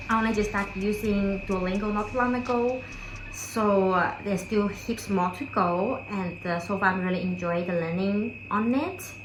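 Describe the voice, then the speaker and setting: In a non-native accent, a woman talks at a moderate pace in a relaxed tone, with medium pitch and fairly even intonation. Noticeable background noise and audible room echo surround her. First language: not English. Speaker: lifestyle vlogger. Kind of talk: casual talk to camera. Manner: relaxed, with fillers.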